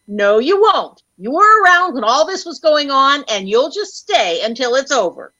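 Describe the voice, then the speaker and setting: A woman speaks with a high voice and very wide pitch swings. Her pace is moderate, with hardly any pauses. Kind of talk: 1930s radio comedy. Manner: brisk, skeptical, confident.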